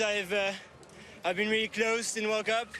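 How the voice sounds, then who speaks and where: A man's raised, projected voice at a moderate pace. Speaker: cross-country skier. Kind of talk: post-race interview.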